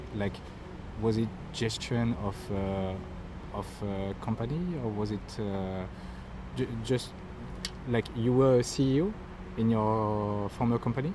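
A man's fairly low voice with a French accent, dark and mellow in tone, with ordinary pitch variation, a very slow pace and long, frequent pauses. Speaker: podcast host. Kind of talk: interview.

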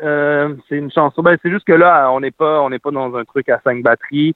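Fairly high in pitch, a man speaks at a moderate pace with fairly even intonation. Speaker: singer-songwriter. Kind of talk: interview. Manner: hesitant, many fillers.

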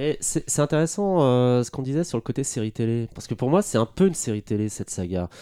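The speech runs at a fairly quick pace with hardly any pauses, its dark, mellow tone carried by lively intonation. The recording is very clean, with a silent background. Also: man, medium pitch for a man. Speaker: lawyer and historian, podcast guest. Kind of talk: casual chat. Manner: halting, repeats words.

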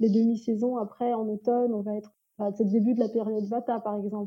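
A woman's fairly high-pitched, dark, mellow voice at a fairly quick pace with fairly even intonation. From France. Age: 30s. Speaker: ayurveda practitioner. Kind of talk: interview.

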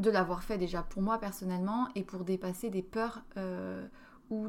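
The delivery is monotone and flat in intonation, at a fairly slow pace. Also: woman. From France. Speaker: podcast host. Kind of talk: solo monologue podcast. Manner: hesitant, many fillers.

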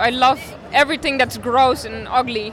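With noticeable background noise behind her, a woman speaks very slowly in a high pitch. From Netherlands. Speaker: comic artist. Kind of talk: interview answers in English. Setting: convention.

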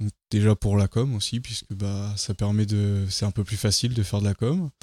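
With a dark, mellow tone and fairly low pitch, a man speaks in fairly even intonation, the sound dry and close with no echo. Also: very clean recording, silent background. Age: 20s. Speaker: engineering apprentice, project leader. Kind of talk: interview. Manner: halting.

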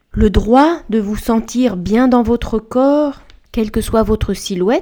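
Over a very clean recording with a silent background, a woman speaks in a dark, mellow tone at a very slow pace. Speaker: podcast host and dietitian. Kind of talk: scripted solo podcast monologue.

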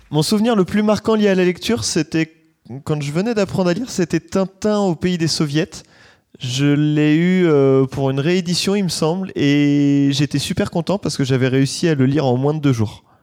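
Here a man has an unremarkable speaking voice at a fairly high pitch, talking at a moderate pace with ordinary pitch variation. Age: 20s. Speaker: listener answering questionnaire. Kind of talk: recorded questionnaire answers. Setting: sitting on a bed.

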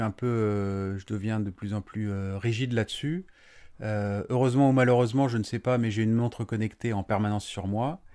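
A man's dark, mellow voice at medium pitch and moderate pace, with fairly even intonation, on a very clean recording with a silent background. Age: 40s. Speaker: building contractor. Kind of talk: interview. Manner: halting.

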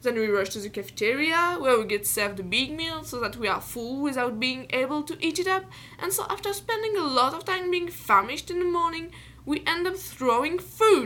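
A raised, projected female voice with a French accent, high in pitch, with very wide pitch swings and a fairly quick pace. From France. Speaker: student podcaster. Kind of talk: personal monologue.

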